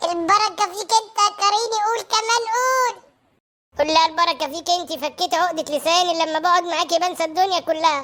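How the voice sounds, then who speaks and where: A woman does a squeaky, cartoonish character voice at an extremely high pitch, keeping a moderate pace and very even loudness. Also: ordinary pitch variation. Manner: commanding.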